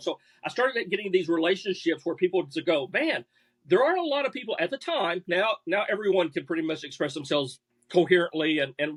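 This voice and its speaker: Very fast and lively, a man with an American accent talks at a high pitch in a dry, close sound with no echo. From US Midwest, southern Missouri bootheel. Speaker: bowhunting writer. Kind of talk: podcast interview. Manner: halting, repeats words.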